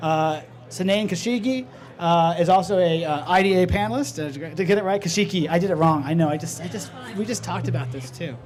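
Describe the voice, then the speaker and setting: Over music in the background, a high-pitched man talks at a fairly quick pace with lively intonation and audible room echo. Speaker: panel moderator. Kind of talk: panel introductions. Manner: fast; halting, many fillers and restarts.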